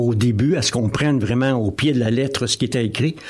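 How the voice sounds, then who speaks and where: A man at a fairly quick pace. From Quebec, Drummondville. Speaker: novelist and municipal councillor. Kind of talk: radio interview. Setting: studio. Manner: halting, repeats words.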